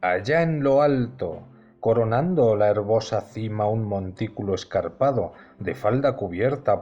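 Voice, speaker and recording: Speaking very slowly with a Castilian accent, a man uses lively intonation at a medium pitch while music plays in the background. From Spain. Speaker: audiobook narrator. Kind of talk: audiobook reading.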